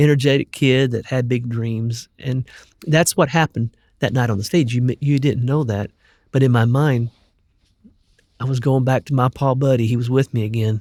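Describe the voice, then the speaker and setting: At a moderate pace, a man with a plain, everyday voice and medium pitch talks with fairly even intonation, in a dry, close sound with no echo and a very clean recording over a silent background. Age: 60s. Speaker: gospel singer. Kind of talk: interview conversation.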